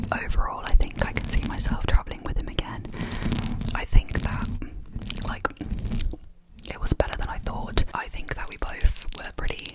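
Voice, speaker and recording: Noticeable background noise fills the recording. Through it, a woman whispers at a moderate pace. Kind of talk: ASMR whisper rambles, casual chit chat to camera. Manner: whispered, chatty.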